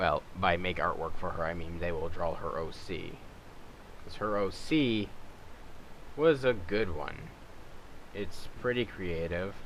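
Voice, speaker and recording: Very deep, low pitch from a man at a fairly slow pace, with long, frequent pauses and audible room echo. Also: lively intonation. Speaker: YouTuber making game skins. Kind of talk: casual tutorial commentary.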